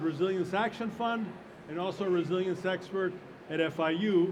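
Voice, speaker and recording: A man speaks loudly at a moderate pace in a high pitch for a man. His intonation stays fairly even, with noticeable background noise. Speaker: panel moderator. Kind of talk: panel discussion moderation. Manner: halting.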